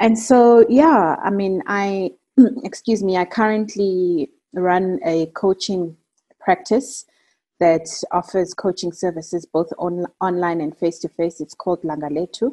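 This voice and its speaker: A woman with a South African accent speaks at a medium pitch in a dark, mellow tone with ordinary pitch variation, the sound dry and close with no echo against a quiet background. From South Africa, Eastern Cape. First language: Xhosa. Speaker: career and personal development coach. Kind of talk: interview.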